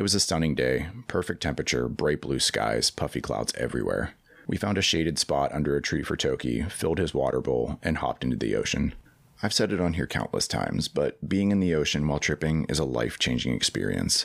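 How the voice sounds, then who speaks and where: A man speaks with a very deep, low pitch and vocal fry at a fairly quick pace. His intonation is lively while his loudness stays very even. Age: 30s. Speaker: podcast host. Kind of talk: solo monologue narrating a personal story.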